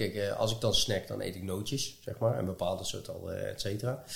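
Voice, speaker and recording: Speaking at a fairly quick pace, a man has a somewhat breathy voice. His pitch is medium. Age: 40s. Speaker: podcast host. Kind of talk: casual interview. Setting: at guest's home. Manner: halting.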